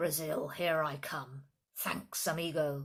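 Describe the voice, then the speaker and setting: Fairly slow and hissing, this put-on character voice sits at a middle pitch. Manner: friendly, cheerful.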